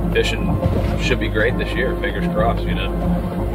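With loud music in the background, a man speaks at a moderate pace. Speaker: fishing guide. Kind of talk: casual chat. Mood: calm, hopeful. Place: car.

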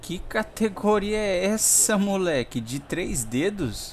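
A man's pitch swings very widely as he speaks. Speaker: gaming YouTuber. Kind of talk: gameplay commentary. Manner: animated.

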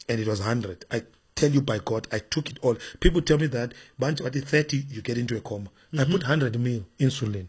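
This man talks at a fairly quick pace, his voice somewhat breathy. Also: medium pitch for a man, ordinary pitch variation. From Zimbabwe. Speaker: bishop and preacher. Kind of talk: interview.

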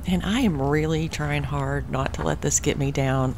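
A woman speaks fairly slowly, with light noise in the background. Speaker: travel vlogger. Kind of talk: casual vlog chat. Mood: disappointed but upbeat. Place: open country. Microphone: phone near.

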